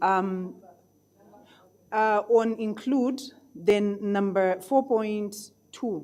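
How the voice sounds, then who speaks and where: The speaker has a non-native accent and a dark, mellow tone, with fairly even intonation. The pace is very slow, with long, frequent pauses. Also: woman, medium pitch for a woman. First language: not English. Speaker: conference delegate. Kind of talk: question from the floor.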